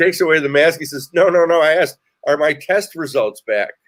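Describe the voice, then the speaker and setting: A man with an American accent speaks in a normal speaking voice at a moderate pace and a fairly high pitch. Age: 60s. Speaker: talk show host and comedian. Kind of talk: casual chat.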